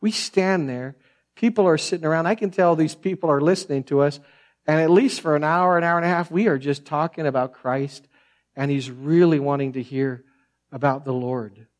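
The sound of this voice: A man speaks in a soft-spoken way at a fairly high pitch. His pitch varies in an ordinary way. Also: moderate pace.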